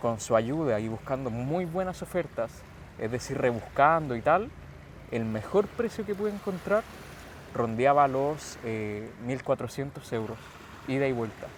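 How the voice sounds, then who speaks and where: At a fairly slow pace, a man with an unremarkable speaking voice talks at medium pitch with lively intonation. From Chile, Santiago. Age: 20s. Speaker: calisthenics athlete. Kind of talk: interview.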